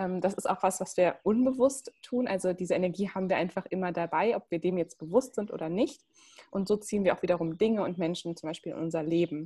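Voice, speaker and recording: A somewhat breathy woman at a fairly quick pace, with ordinary pitch variation. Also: medium pitch for a woman. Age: 20s. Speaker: human design coach. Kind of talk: casual interview.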